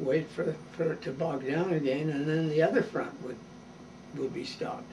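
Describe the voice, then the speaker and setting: A man's fairly high pitch, with ordinary pitch variation, rings out amid audible room echo. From Canada, Toronto. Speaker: war veteran. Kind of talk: interview. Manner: halting.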